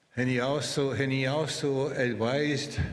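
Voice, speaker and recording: Room echo is audible as a man talks. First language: Anishinaabemowin (Ojibwe). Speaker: interpreter. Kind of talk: ceremonial speech.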